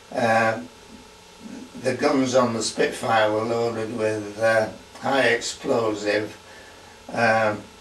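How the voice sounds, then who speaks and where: In a room with audible echo and noticeable background noise, a man speaks at a medium pitch in a flat monotone, at a very slow pace with long, frequent pauses. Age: 80s+. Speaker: war veteran. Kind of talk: testimony. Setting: at home. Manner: halting.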